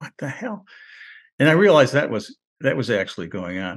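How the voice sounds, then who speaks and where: A man's voice with very wide pitch swings and long, frequent pauses against a quiet background. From US Northeast, Rochester, New York. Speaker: war veteran and retired English professor. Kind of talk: interview. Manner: halting, many fillers and restarts.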